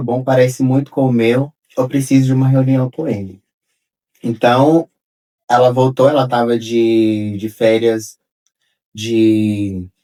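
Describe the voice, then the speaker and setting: At a fairly slow pace with long, frequent pauses, a man speaks at a medium pitch in a dark, mellow tone. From Brazil, Minas Gerais. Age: 30s. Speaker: architect. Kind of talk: interview.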